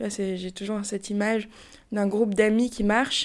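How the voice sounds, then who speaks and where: A woman speaks at a moderate pace in a medium pitch with a monotone, flat delivery, recorded very cleanly against a silent background. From Paris, France. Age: 30s. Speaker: podcast guest sharing personal story. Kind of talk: testimony. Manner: hesitant, with fillers.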